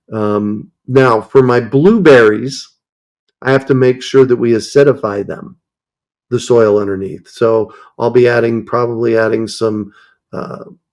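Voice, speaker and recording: Against a quiet background, a man talks at a fairly slow pace. His pitch varies in an ordinary way. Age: 60s. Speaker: urban farming expert; urban farming instructor. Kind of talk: interview. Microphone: earbuds.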